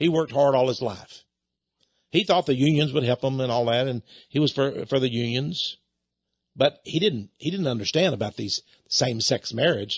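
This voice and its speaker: Here a man speaks with a Texan accent at a medium pitch and a moderate pace. His voice is somewhat breathy, with ordinary pitch variation. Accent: Texan American. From Texas. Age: 70s. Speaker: radio host and preacher. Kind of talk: radio monologue. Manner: animated.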